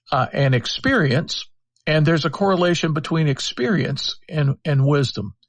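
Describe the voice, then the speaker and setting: Against a quiet background, a man talks at a moderate pace with a fairly high pitch, ordinary pitch variation and a somewhat breathy voice. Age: 60s. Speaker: public philosopher. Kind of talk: podcast interview. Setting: live audio chat app.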